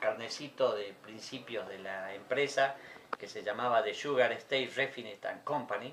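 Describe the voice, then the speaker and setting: Amid noticeable background noise, a man at a medium pitch speaks at a fairly slow pace, with ordinary pitch variation and big swings in loudness. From Argentina, Jujuy (Libertador General San Martín). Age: 60s. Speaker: dictatorship survivor, witness. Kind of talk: interview testimony.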